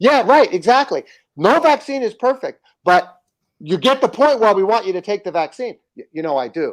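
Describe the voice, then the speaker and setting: An animated man with an American accent talks at a moderate pace in an extremely high pitch, with very wide pitch swings, on a very clean recording with a silent background. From United States. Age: 60s. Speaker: livestream show host. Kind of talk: livestream commentary.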